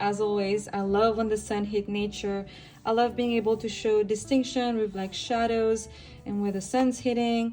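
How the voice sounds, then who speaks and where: A woman's fairly high-pitched voice comes through with music in the background. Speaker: art youtuber. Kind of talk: sketchbook tour talk. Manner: casual, rambling.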